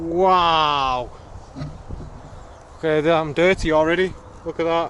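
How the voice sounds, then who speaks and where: A man's fairly high-pitched voice at a fairly slow pace. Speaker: vlogger reviewing a folding bike. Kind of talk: casual vlog while cycling outdoors. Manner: loud; animated, rambling.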